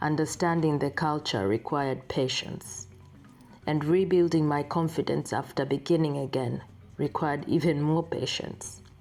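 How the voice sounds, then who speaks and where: Music plays behind a woman with a very deep, low pitch and ordinary pitch variation. Her tone is calm, and her pace is moderate. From Tanzania. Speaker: vlogger. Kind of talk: scripted narration. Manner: calm, reflective.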